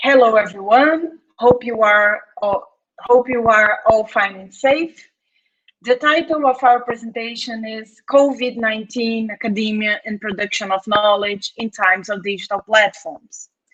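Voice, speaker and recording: A woman's fairly high voice in a Brazilian Portuguese accent, fairly slow, with ordinary pitch variation and big swings in loudness. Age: 30s. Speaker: anthropologist, postdoctoral researcher. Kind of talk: academic conference presentation. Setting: home office.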